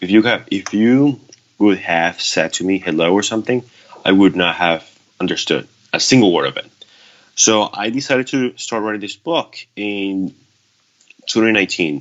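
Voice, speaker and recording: With a Spanish accent, a man talks at a moderate pace and ordinary pitch variation. He leaves long, frequent pauses. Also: fairly low pitch for a man. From Venezuela. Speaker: author. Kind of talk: interview. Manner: halting, with repetitions.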